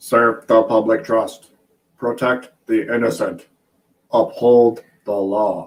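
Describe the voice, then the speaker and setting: Using a put-on, robotic character voice, a man talks at medium pitch and a fairly slow pace, leaving long, frequent pauses. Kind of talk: flat, clipped.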